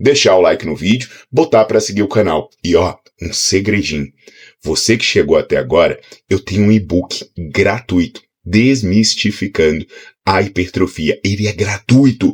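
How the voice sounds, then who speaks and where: Animated in tone, a man with a fairly low pitch and a somewhat breathy voice speaks at a moderate pace. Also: ordinary pitch variation. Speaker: fitness educator. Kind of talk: online lecture.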